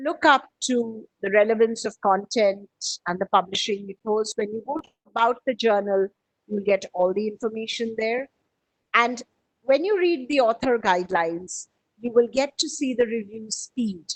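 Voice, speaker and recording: Dry, close sound without echo, carrying an ordinary speaking voice at a moderate pace and ordinary pitch variation. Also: woman, fairly high pitch for a woman, big swings in loudness. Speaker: publishing trainer presenting a webinar. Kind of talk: webinar presentation. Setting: online webinar. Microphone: audio breaking up on connection.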